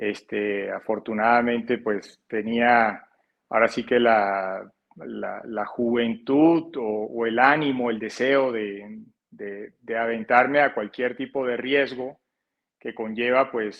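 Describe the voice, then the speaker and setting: The man's voice sits at a medium pitch with fairly even intonation. He speaks at a very slow pace. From Colombia, Barranquilla (Caribbean coast). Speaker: financial advisor. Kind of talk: interview. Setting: podcast. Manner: hesitant, many repetitions.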